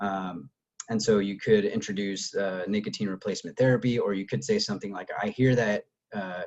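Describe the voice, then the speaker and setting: Fairly low in pitch, a man with a plain, everyday voice talks at a fairly quick pace. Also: ordinary pitch variation. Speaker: health educator leading a training. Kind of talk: online training webinar.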